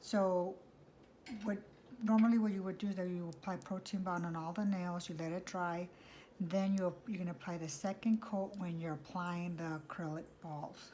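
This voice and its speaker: A woman speaks at a medium pitch with a dark, mellow tone and some breathiness. Her pace is moderate and her intonation fairly even. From US (born Mexico, raised in US from infancy). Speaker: nail technician vlogger. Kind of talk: tutorial. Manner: hesitant, many fillers.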